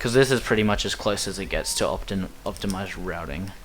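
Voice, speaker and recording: Audible room echo colors the recording. The man speaking keeps a moderate speed. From Australia. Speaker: speedrunner. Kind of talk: gameplay commentary. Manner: casual, rambling commentary.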